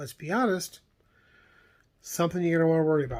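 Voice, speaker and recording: A man mumbles at a fairly high pitch. The recording is very clean, with a silent background. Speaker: vlogger on camping and camper plans. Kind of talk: casual monologue vlog. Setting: recorded late at night. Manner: mumbling; halting, many fillers.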